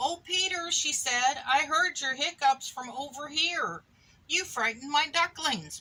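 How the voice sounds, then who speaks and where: Over noticeable background noise, a woman in a raised, projected voice speaks at a fairly slow pace with a high pitch and ordinary pitch variation. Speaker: mother reading to a child. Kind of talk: children's picture book read-aloud.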